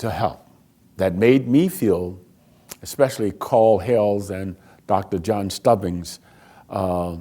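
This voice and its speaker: A man with an American accent, fairly low in pitch with a dark, mellow tone, at a very slow pace with long, frequent pauses and ordinary pitch variation, on a very clean recording with a silent background. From Alexandria, Virginia and Washington DC. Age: 70s. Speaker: community honoree, retired church volunteer. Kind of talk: documentary interview.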